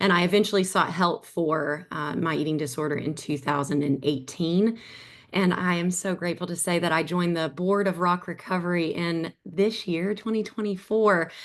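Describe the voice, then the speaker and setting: A woman at a fairly low pitch and moderate pace, with ordinary pitch variation and an Appalachian accent. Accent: Southern US (Appalachian). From US South, Southwest Virginia near Tennessee. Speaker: eating disorder survivor, nonprofit board member. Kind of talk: personal testimony in webinar.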